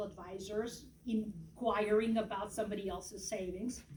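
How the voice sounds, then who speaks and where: Speaking at a moderate pace, a woman uses a fairly high pitch. Audible room echo surrounds her voice. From Yugoslavia (Serbia). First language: Serbian. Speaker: political candidate. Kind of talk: political speech. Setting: event with audience.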